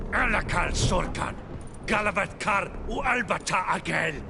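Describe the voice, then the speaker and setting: Over loud background noise, a man does a put-on character voice at a high pitch and a moderate pace. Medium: video game. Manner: harsh, barking.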